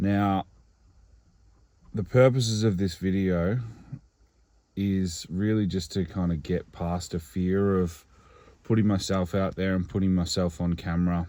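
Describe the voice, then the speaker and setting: Very deep and low, a man's voice with an Australian accent and a dark, mellow tone moves at a fairly slow pace with fairly even intonation and long, frequent pauses, on a very clean recording with a silent background. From Australia, regional Victoria. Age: 30s. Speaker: singer-songwriter. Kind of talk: personal vlog monologue. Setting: in a car. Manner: hesitant, with many fillers.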